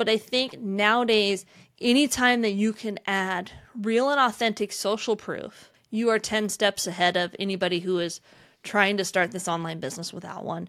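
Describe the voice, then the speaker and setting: Using an ordinary speaking voice, a woman talks at a moderate pace and medium pitch, her pitch varying in an ordinary way, on a very clean recording with a silent background. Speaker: podcast host, online business consultant. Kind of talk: casual conversational podcast discussion.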